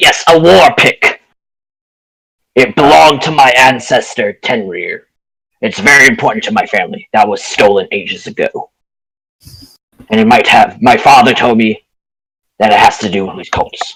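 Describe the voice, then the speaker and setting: A man performs a put-on character voice at medium pitch. He leaves long, frequent pauses. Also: moderate pace. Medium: actual play. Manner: earnest, matter-of-fact.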